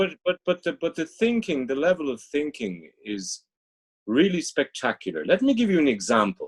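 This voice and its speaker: The man speaks with an Irish accent and very wide pitch swings. His sound is dry and close, with no echo. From Dublin, Ireland. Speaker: business executive and strategy consultant. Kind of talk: interview answer.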